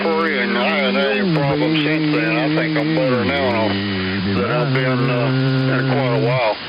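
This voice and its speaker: At a fairly slow pace, a man with a medium pitch and lively intonation speaks amid audible room echo and noticeable background noise. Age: 70s. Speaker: retired hot rod builder. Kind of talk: casual chat.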